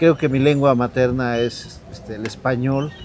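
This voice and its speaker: At a very slow pace, a man talks at medium pitch with fairly even intonation. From Mexico, Sierra Norte de Puebla. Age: 60s. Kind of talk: interview testimony. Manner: halting, with fillers.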